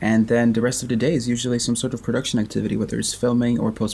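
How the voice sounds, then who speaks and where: This man talks at a medium pitch with noticeable vocal fry. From Sweden. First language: Swedish. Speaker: film director and podcast co-host. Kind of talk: casual chat.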